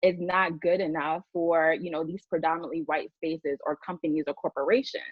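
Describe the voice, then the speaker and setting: A woman speaks at a moderate pace with a Bronx accent. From New York, the Bronx. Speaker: diversity and inclusion leader. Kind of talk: panel discussion.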